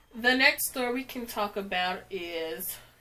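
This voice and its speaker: With noticeable background noise, a woman talks at a medium pitch with ordinary pitch variation. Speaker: fashion youtuber. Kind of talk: try-on haul. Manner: casual, filler-heavy.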